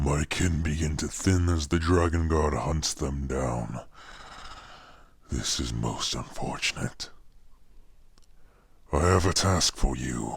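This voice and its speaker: In a put-on character voice, a man speaks with a very deep, low pitch. He goes at a fairly slow pace with long, frequent pauses. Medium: voice reel. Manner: commanding, menacing.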